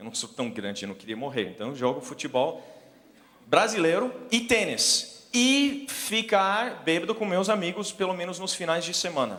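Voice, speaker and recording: A man with a non-native accent speaks at a high pitch with very wide pitch swings, amid audible room echo and noticeable background noise. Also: moderate pace. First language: English (speaking Portuguese). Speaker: missionary preacher. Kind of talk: sermon. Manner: halting.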